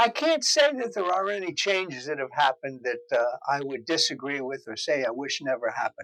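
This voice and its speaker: The speaker has a New Jersey accent and talks at a fairly quick pace with lively intonation and hardly any pauses. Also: man, fairly high pitch for a man. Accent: New Jersey American. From New Jersey, Morristown. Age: 70s. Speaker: interviewee, longtime local resident. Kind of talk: interview. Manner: hesitant, with filler words.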